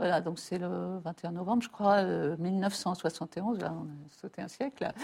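A woman's somewhat breathy voice with ordinary pitch variation comes through on a very clean recording with a silent background. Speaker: writer and mathematician. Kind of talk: interview.

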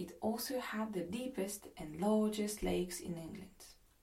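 A woman with a French accent speaks at a fairly slow pace, her medium pitch carrying vocal fry. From France. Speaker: podcast host. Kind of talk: travel storytelling narration.

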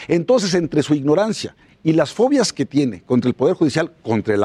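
A man's fairly high-pitched voice with a dark, mellow tone at a fairly quick pace, dry and close with no echo. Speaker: politician. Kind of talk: panel discussion. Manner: animated.

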